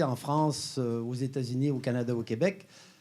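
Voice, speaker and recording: At a moderate pace, a man with a slight Quebec accent talks in a dark, mellow tone. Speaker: health company co-founder and exercise scientist. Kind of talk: conference presentation. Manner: hesitant, many filler sounds.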